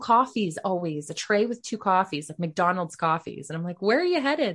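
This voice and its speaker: Against a quiet background, an ordinary speaking voice talks at a fairly quick pace with lively intonation. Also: woman. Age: 30s. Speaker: former massage therapist and podcaster. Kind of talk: casual interview chat.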